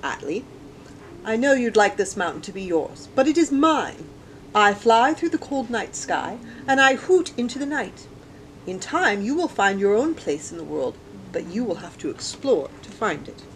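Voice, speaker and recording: Over clear background noise, a woman uses a put-on character voice at a moderate pace. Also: fairly high pitch for a woman. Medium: read story. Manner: confident.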